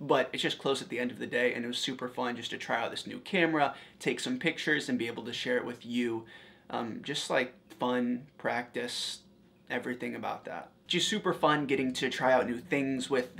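Speaking at a fairly quick pace, the man has a bright, sharp tone. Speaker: fashion vlogger. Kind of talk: casual vlog chat. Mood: upbeat, playful. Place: home room. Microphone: lapel.

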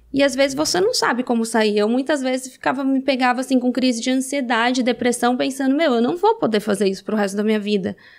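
A high-pitched woman talks at a very fast pace with ordinary pitch variation. The background is quiet. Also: hardly any pauses. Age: 30s. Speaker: reality show alum and adult content creator; adult content creator. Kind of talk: casual interview chat. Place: studio. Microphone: studio mic.

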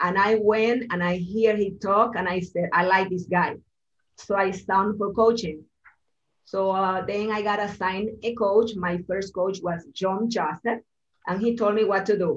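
In a Spanish accent, a woman speaks fairly slowly and in a flat monotone over light background noise. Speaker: real estate agent. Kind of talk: interview in group coaching call. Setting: video call. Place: office. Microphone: video call.

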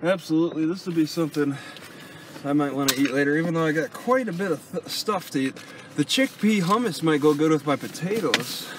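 The recording is dry, with no echo, though background noise is noticeable. A man speaks fairly quickly. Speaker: vlogger living in vehicle. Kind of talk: casual vlog chat. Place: car. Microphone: phone near.

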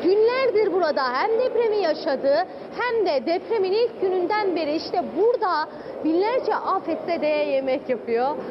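Through noticeable background noise, a woman speaks at an extremely high pitch with very wide pitch swings. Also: moderate pace. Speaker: news reporter. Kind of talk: field news report. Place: kitchen. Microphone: handheld.

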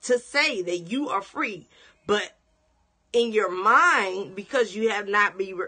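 Over a quiet background, a woman talks at a very slow pace. Her tone is bright and sharp, with very wide pitch swings. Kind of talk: sermon-style teaching broadcast. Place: home room. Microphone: phone near.

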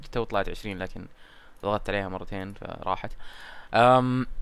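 Amid audible room echo, a man with a fairly low pitch and fairly even intonation speaks with long, frequent pauses. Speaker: gaming YouTuber. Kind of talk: gameplay commentary. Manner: casual, chatty.

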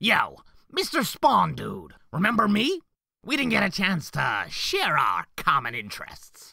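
Fairly slow delivery in a put-on character voice, pitched in the middle range. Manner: taunting, giggly singsong.

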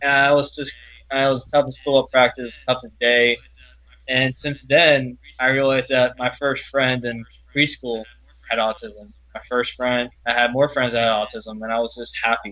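A medium-pitched man with an American accent and monotone, flat intonation. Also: moderate pace. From Louisiana, US South. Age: 20s. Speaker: college student. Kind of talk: interview testimony. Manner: halting.

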